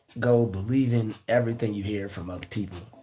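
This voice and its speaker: A man's medium-pitched voice, with music in the background. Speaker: YouTuber giving motivational talks. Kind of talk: livestream monologue. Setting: live stream. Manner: repetitive, stammering; casual.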